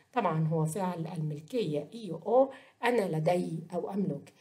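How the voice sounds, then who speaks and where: An Egyptian accent at a fairly slow pace. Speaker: Italian language teacher. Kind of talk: lecture.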